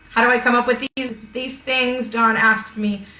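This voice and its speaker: A woman's fairly high voice at a moderate pace, with noticeable background noise and audible room echo. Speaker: art teacher. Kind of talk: live-streamed online art class.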